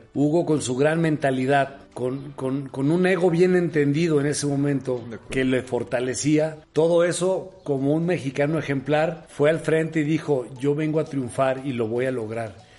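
A man's fairly high, fairly evenly intoned voice at a fairly slow pace with hardly any pauses, over noticeable background noise. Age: 50s. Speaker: football assistant coach. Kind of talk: interview.

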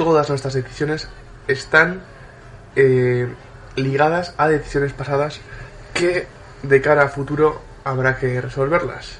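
Fairly high-pitched and monotone, a man speaks in a flat, fairly slow way over noticeable background noise. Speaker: podcast segment presenter. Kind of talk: humorous segment.

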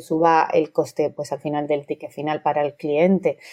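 Dark and mellow in tone, a woman's fairly low voice moves at a moderate pace with monotone, flat intonation and a dry, close sound with no echo. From Madrid. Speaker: maths teacher and hospitality consultant. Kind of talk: interview.

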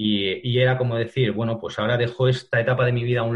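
This man talks at a very fast pace. His voice is somewhat breathy. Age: 40s. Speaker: digital ad specialist. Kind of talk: interview. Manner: halting.

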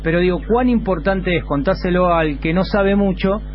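Room echo and clear background noise around a man's voice. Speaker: radio host. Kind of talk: live radio talk. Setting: radio studio.

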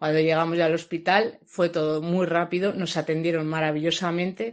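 In a normal speaking voice, a woman talks at a moderate pace with a fairly low pitch and fairly even intonation. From Logroño, La Rioja, Spain. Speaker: new mother. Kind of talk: testimony. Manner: casual.

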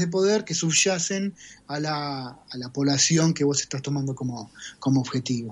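With an Argentine accent, a man talks at a moderate pace using lively intonation. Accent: Rioplatense Argentine Spanish. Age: 40s. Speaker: data scientist. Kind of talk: interview.

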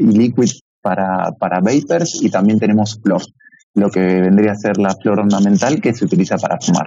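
A man speaks at a fairly low pitch and a moderate pace. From Argentina, Buenos Aires. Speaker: e-commerce entrepreneur. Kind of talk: interview.

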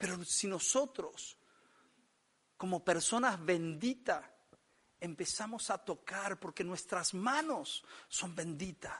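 Speaking at a very slow pace with long, frequent pauses, a man uses a high pitch and lively intonation. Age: 50s. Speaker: pastor. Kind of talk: sermon.

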